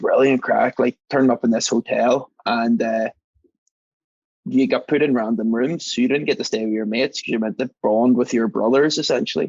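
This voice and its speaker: A man with an Irish accent at a fairly quick pace, medium in pitch, in a dry, close sound with no echo. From Northern Ireland, Belfast. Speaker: mixologist and engineer. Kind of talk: casual chat. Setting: podcast recording. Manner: animated storytelling.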